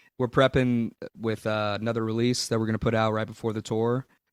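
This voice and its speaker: With an echo-free, dry, close sound and a very clean recording over a silent background, a man speaks at a fairly low pitch with a Southern US accent. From Louisiana, USA. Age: 20s. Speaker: blues-rock musician. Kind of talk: interview answer.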